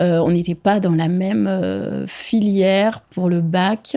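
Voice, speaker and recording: Her voice has a dark, mellow tone. This woman's pitch is fairly low. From France, Burgundy (Saône-et-Loire). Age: 20s. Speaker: permanent makeup trainer. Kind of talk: interview testimony. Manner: hesitant, many fillers.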